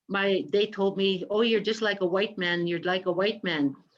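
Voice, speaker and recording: The speaker has an unremarkable speaking voice. The intonation is fairly even. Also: woman. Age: 50s. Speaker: residential school survivor. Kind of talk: testimony.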